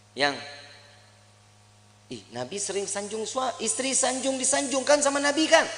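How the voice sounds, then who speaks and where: Someone with a Jakarta accent speaks in a raised, projected voice at a fairly slow pace with lively intonation, over noticeable background noise. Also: man. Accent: Betawi. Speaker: Islamic preacher. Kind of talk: religious sermon. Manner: casual, humorous.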